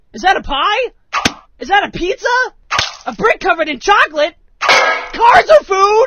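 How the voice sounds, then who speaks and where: A cartoonish character voice pitched extremely high. Long, frequent pauses break up the speech. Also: moderate pace. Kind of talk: comic overacting. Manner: bombastic, over the top.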